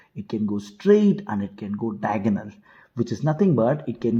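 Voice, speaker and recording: A man speaks with medium pitch and lively intonation. His dark, mellow tone is somewhat breathy. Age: 20s. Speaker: chess coach. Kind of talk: tutorial.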